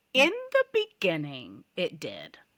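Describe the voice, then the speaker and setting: The voice has a bright, sharp tone, captured in a very clean recording with a silent background. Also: woman. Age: 60s. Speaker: cycling advocate. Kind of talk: podcast interview.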